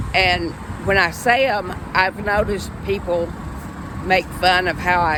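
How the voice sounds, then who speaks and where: Room echo is audible as a woman speaks at a very slow pace. Background noise is noticeable too. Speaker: vlogger and stroke survivor. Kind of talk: casual personal vlog. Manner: halting.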